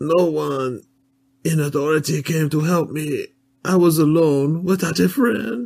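A whiny, put-on character voice from a man, fairly high in pitch and fairly slow in pace. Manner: whiny, complaining.

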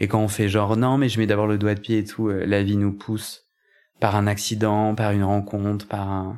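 A man's monotone, flat delivery in a very clean recording with a silent background. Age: 30s. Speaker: podcaster and coach. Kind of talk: personal testimony in a casual interview. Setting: at home. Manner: halting, many hesitations.

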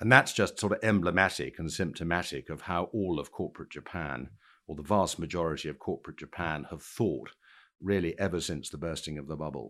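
A man with a very deep, low pitch, vocal fry and a bright, sharp tone talks at a fairly quick pace with ordinary pitch variation and big swings in loudness, on a very clean recording with a silent background. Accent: British. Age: 50s. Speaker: equities broker and Japan specialist. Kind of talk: interview.

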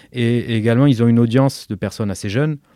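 Very clean recording with a silent background of a man at medium pitch, with a dark, mellow tone and ordinary pitch variation. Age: 40s. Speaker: plastic surgeon. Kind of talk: interview. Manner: halting.

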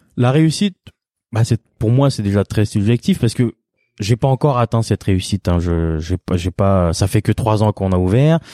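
On a very clean recording with a silent background, a man speaks at a moderate pace with a fairly low pitch and a dark, mellow tone. The sound is dry and close with no echo, and his loudness stays very even. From France. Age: 30s. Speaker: chef. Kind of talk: interview testimony. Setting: his restaurant. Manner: halting, many repetitions and fillers.

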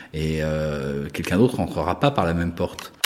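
Noticeable background noise can be heard. Through it, a man talks. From France (Paris, Savoyard roots). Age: 50s. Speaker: art critic and gallerist. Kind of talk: interview. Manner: hesitant, many fillers.

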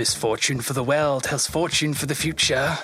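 A man puts on a character voice at a fairly high pitch, speaking at a moderate pace over clear background noise. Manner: eerie, cryptic.

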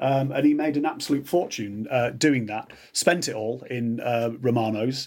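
A man with a Yorkshire accent at a medium pitch, a moderate pace and ordinary pitch variation. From Yorkshire Dales, England. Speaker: biographer and writer. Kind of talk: casual chat.

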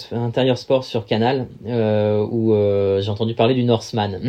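Fairly even intonation marks this man's speech. His pitch sits in the medium range. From Paris region, France (Val d'Oise). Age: 30s. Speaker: endurance athlete and sailor. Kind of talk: casual interview. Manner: hesitant, many fillers.

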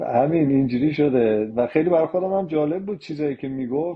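This man's speech, in a plain, everyday voice, runs at a fairly quick pace with ordinary pitch variation. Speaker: retired international football referee. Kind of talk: casual chat.

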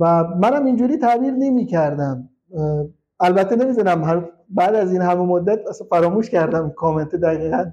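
At a moderate pace, a man talks with a high pitch, a dark, mellow tone and lively intonation. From Iran, Khuzestan (Shush). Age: 30s. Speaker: hackintosh specialist. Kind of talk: casual interview. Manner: halting.

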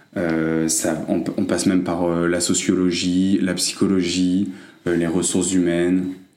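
Audible room echo surrounds a man speaking at a very deep, low pitch and a fairly slow pace. His intonation is monotone and flat, and his loudness is very even. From France. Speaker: recent graduate. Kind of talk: casual interview.

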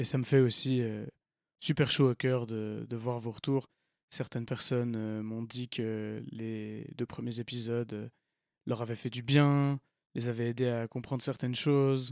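Against a silent background in a very clean recording, a man at a medium pitch talks at a fairly slow pace with monotone, flat intonation. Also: dry, close sound with no echo. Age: 20s. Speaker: podcast host. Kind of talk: podcast intro monologue. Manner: hesitant, many fillers.

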